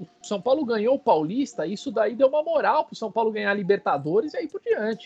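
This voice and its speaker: With lively intonation and big swings in loudness, a high-pitched man talks at a fairly quick pace with hardly any pauses. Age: 30s. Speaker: football fan page owner. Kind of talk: casual chat.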